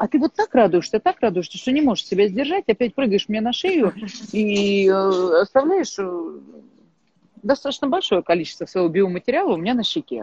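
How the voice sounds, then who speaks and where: This woman speaks at a fairly high pitch, her voice swinging very widely up and down. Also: moderate pace. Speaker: thinking coach. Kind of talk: casual chat. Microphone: connection drops.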